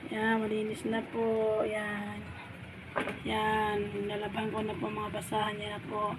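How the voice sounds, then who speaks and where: A woman speaks at a fairly slow pace and a medium pitch. Noticeable background noise and audible room echo surround her voice. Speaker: vlogger and food vendor. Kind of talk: casual vlog narration.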